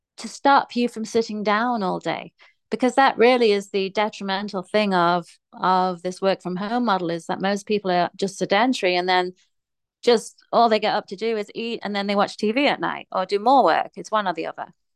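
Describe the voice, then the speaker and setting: With an English accent, a woman of medium pitch speaks at a moderate pace with fairly even intonation, in a dry, close sound with no echo and a quiet background. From England. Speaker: fitness coach and personal trainer. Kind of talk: casual interview chat.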